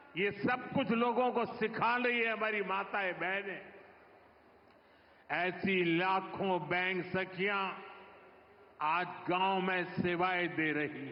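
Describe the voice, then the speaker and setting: With long, frequent pauses, a man speaks at a high pitch and ordinary pitch variation against noticeable background noise. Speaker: politician, prime minister. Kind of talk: political speech at public rally.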